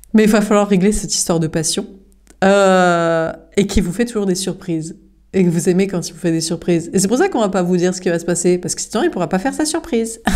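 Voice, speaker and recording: Speaking very fast, a woman keeps a medium pitch and ordinary pitch variation. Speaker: tarot card reader. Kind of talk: tarot reading. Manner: halting with fillers.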